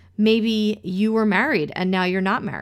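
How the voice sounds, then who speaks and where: A woman with a fairly high voice speaks in an animated tone at a moderate pace. The recording is very clean, with a silent background. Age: 30s. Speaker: podcast host. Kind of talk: scripted narration; casual chat.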